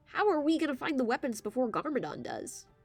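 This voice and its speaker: A woman uses a high-pitched, put-on character voice at a very fast pace. Faint music plays in the background. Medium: read story. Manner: quick, chatty.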